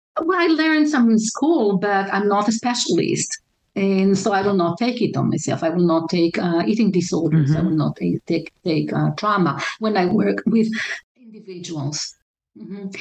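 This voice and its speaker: In an Israeli accent, a woman speaks at a medium pitch and a moderate pace with lively intonation. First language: Hebrew. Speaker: relationship counselor. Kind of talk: interview. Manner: halting, many fillers.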